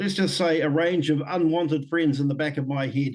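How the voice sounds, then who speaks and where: With a New Zealand accent, a man speaks in a fairly high voice and a fairly even intonation. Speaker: Māori leader and former public servant. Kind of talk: podcast interview testimony. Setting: video call. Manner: occasionally slurred words after stroke.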